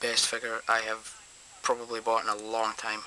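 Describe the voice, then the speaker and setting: A man speaks at a medium pitch with a Scottish accent. Noticeable background noise runs under his voice. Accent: Scottish, obvious. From Scotland. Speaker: toy reviewer. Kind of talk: product review. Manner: hesitant, many ums.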